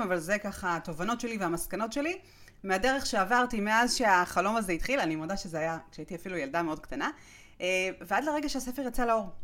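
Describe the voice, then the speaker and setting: In a normal speaking voice, a woman talks at a fairly quick pace, medium in pitch, with lively intonation. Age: 40s. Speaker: podcast host and author. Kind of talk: solo podcast monologue.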